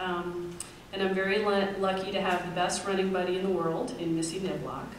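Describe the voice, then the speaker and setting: Light background noise and audible room echo surround speech at a moderate pace. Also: woman. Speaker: speaker. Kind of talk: personal talk to an audience. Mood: relaxed, personal. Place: hall.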